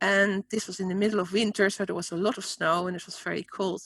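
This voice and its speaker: A woman with a Dutch accent speaks at a moderate pace, the sound dry and close with no echo and the recording very clean with a silent background. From Netherlands. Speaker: spiritual teacher and author. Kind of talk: interview.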